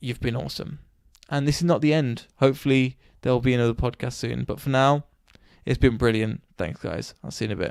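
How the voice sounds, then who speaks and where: A man mumbles at a fairly quick pace. His pitch is medium, with ordinary variation. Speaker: podcaster and DJ. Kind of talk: solo podcast monologue. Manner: halting, stuttering; rambling, mumbling.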